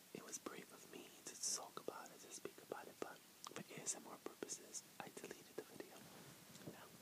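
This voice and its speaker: A man talks at a fairly quick pace. Loud background noise runs under him. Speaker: ASMR creator. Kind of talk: casual vlog chat. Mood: earnest, personal, reflective. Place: home room. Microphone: earbuds.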